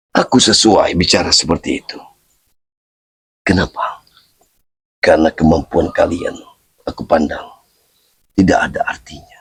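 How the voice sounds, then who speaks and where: Using a put-on character voice, a hoarse man speaks at a moderate pace, with big swings in loudness and long, frequent pauses. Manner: stern, scolding.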